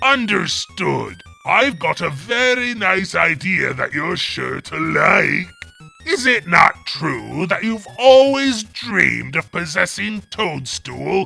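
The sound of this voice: A man does a put-on character voice, high-pitched and very slow. Faint music plays in the background.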